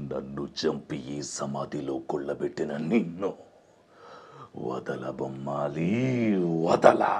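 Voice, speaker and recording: Putting on a character voice, a man speaks at a very slow pace with a very deep, low pitch. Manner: menacing.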